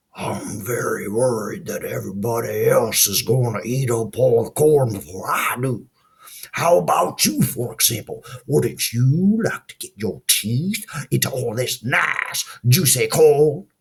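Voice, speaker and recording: A man puts on a raspy character voice at a medium pitch. He speaks at a fairly slow pace. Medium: read story. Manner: fussy, worried.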